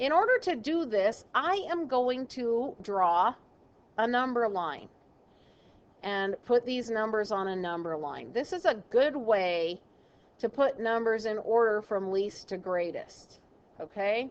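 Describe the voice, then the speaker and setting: In an ordinary speaking voice, a woman talks at a fairly slow pace with a fairly high pitch and lively intonation. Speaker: math teacher. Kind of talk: recorded classroom lesson. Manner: casual.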